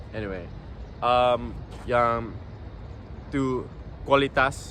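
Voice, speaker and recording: Through audible room echo, a man of medium pitch speaks in a bright, sharp tone with fairly even intonation. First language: English (speaking Indonesian). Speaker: vlogger. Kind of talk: casual vlog. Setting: outdoors in public. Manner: halting.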